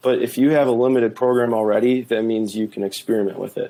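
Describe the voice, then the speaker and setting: A man speaks with a strong Minnesotan accent. His tone is dark and mellow. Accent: thick Minnesota. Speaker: attorney and policy author. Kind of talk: podcast interview conversation.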